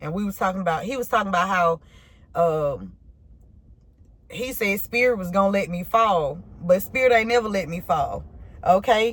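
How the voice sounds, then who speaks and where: Somewhat breathy, a woman talks at a moderate pace and medium pitch with ordinary pitch variation. Long, frequent pauses break up her speech. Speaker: tarot reader. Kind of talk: tarot reading. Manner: casual, halting; slurred words.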